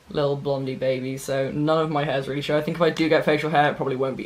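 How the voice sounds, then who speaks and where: Noticeable background noise sits behind a man whose fairly high voice stays monotone, with flat intonation. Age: young. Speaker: vlogger. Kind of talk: casual chat. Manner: halting.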